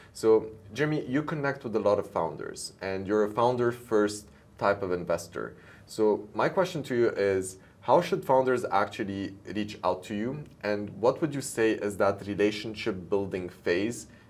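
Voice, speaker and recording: At a moderate pace, a man talks in an unremarkable speaking voice, fairly low in pitch with ordinary pitch variation. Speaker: show host and startup founder. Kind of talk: interview show.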